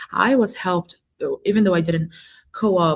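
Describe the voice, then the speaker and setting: A woman speaks at a moderate pace with a non-native accent. Her voice is somewhat breathy. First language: not English. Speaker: engineering student. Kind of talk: panel discussion. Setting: webinar video call.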